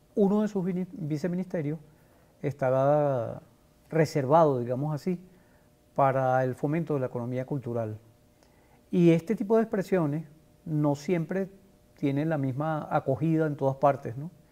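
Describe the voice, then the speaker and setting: Speaking at a moderate pace with ordinary pitch variation, a man with a fairly high pitch and a dark, mellow tone leaves long, frequent pauses on a very clean recording with a silent background. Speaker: journalist and TV interviewer. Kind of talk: interview host.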